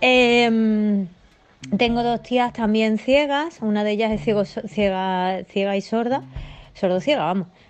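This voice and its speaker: A woman talks very slowly at a fairly high pitch, with ordinary rise and fall. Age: 40s. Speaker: blind former philosophy teacher. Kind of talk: recorded testimony.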